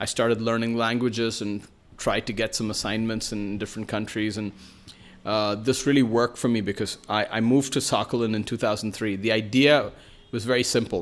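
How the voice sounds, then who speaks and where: A man with a Keralan accent speaks at a fairly quick pace and medium pitch with monotone, flat intonation, on a very clean recording with a silent background. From New York City, US. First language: Malayalam. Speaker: writer and journalist. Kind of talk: podcast interview. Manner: hesitant, many fillers.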